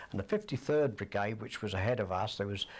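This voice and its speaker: A man speaks with a fairly low pitch and a somewhat breathy voice. The recording is very clean, with a silent background. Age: 70s. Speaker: war veteran. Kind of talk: interview testimony.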